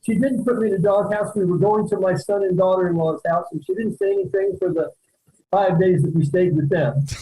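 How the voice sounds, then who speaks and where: A man speaks with a high pitch and a dark, mellow tone. He moves at a fairly quick pace with ordinary pitch variation. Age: 60s. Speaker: airline passenger in viral video. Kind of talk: interview.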